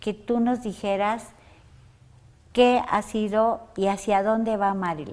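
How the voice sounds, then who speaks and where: Pausing long and often at a very slow pace, a woman talks with a fairly high pitch and fairly even intonation. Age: 60s. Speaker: interview show host. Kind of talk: interview. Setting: guest's workplace.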